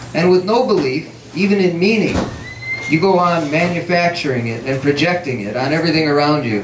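There is audible room echo and light background noise as a man talks at a moderate pace. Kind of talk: literary reading. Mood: reflective, measured. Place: cafe. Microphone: camera far.

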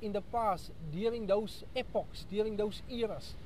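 There is light background noise as a man with a high-pitched voice talks at a moderate pace, the sound dry with no echo. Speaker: preacher, radio Bible teacher. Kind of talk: sermon / Bible study radio broadcast. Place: street. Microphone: earbuds.

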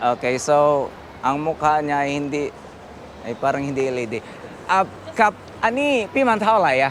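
A man with a fairly high voice talks with lively intonation and long, frequent pauses over noticeable background noise. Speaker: motorcycle vlogger. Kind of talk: casual vlog walkthrough. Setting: indoor motor show. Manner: animated, laughing.

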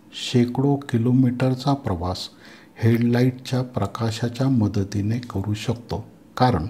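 A man speaks in a dark, mellow tone. His voice is somewhat breathy. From Maharashtra, India (Nashik). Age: 60s. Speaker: English teacher. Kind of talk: lecture. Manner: formal.

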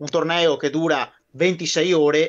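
Against a quiet background, a man with a Venetian accent speaks at a high pitch with monotone, flat intonation. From Veneto, Italy. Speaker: guest on a military history live stream; guest. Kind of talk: casual chat. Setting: live stream. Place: home room. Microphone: video call.

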